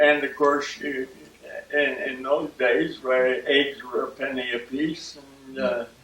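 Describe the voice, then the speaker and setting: With noticeable background noise, a man with an American accent speaks at a very slow pace and fairly high pitch, leaving long, frequent pauses. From US Midwest, Akron, Ohio. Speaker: oral history interviewee. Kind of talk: oral history interview. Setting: at home. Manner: halting, many fillers.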